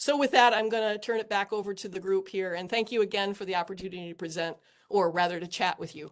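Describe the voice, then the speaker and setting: A woman's very fast speech with big swings in loudness against a quiet background. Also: medium pitch for a woman, ordinary pitch variation. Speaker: engineer panelist. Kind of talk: panel discussion.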